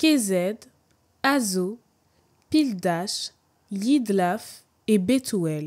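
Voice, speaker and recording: Her intonation is lively, and her pitch sits in the medium range. This woman's tone is dark and mellow. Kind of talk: scripture reading.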